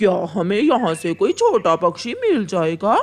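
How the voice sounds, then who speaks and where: A cartoonish character voice at a middle pitch. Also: fairly slow pace. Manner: brusque, commanding.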